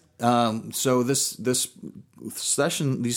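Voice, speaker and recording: A man's ordinary speaking voice at medium pitch and a fairly slow pace, on a very clean recording with a silent background. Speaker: business consultant. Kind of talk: casual interview.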